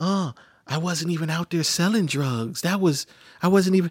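In a put-on character voice, a man whines at a high pitch and a moderate pace, recorded with a dry, close sound and no echo. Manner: whining.

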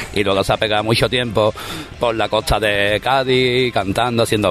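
With an unremarkable speaking voice, a man talks at a fairly quick pace, fairly low in pitch and fairly even in intonation. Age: 30s. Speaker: musician. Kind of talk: interview. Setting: outdoors in a city square.

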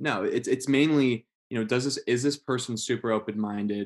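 A man talks at a moderate pace with fairly even intonation. He has a normal speaking voice. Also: quiet background. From Las Vegas, US West. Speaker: guest, student leader of a nonprofit. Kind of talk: casual interview. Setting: studio.

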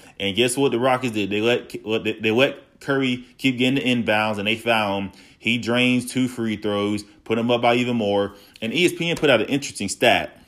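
Recorded very cleanly against a silent background, a man talks at a fairly quick pace and a medium pitch, with fairly even intonation. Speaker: solo podcast host. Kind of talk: casual solo podcast monologue. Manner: raised voice, agitated.

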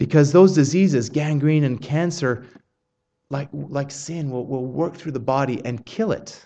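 The pace of this man is fairly slow. Pitch variation stays ordinary. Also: fairly high pitch for a man. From Canada. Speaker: pastor. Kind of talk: sermon. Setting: church.

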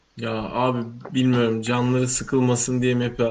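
A man is speaking at a moderate pace. His pitch sits in the medium range. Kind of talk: casual chat. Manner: animated.

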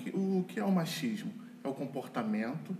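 With audible room echo, a man talks at a fairly slow pace, his pitch swinging very widely. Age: 40s. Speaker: lawyer and church couples leader. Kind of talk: casual chat.

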